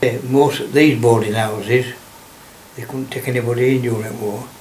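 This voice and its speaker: Speaking with a strong Lancashire accent, a man talks at a moderate pace in a monotone, flat intonation, with audible room echo and noticeable background noise. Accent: broad Lancashire. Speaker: local elder recalling childhood. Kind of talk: oral history interview. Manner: halting.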